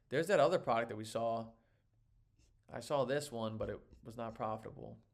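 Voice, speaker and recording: A man talks at a fairly quick pace with medium pitch and ordinary pitch variation. His loudness swings widely. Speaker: online seller and course teacher. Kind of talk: live tutorial. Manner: fast; casual, filler-heavy.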